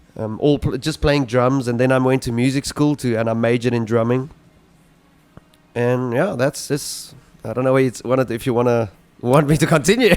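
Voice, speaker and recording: A man's medium-pitched voice at a fairly quick pace, fairly even in intonation, with music in the background. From South Africa. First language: Afrikaans. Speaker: rock singer-songwriter. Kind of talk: interview. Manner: halting.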